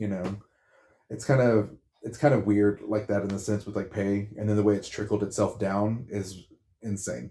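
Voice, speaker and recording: At a moderate pace, a man speaks in a dark, mellow, somewhat breathy tone at a fairly low pitch with fairly even intonation, in a very clean recording with a silent background. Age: 40s. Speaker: retail worker. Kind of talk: casual chat.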